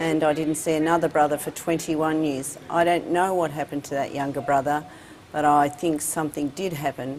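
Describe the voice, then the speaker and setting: Over noticeable background noise, a woman with an Australian accent speaks at a moderate pace in a very deep, low pitch with monotone, flat intonation. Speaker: advocate for care leavers. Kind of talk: interview. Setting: studio.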